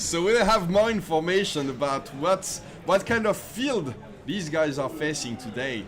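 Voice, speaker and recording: A man with a fairly high pitch speaks fairly slowly, swinging his pitch very widely over noticeable background noise. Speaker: esports commentator. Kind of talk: live commentary. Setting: live stream.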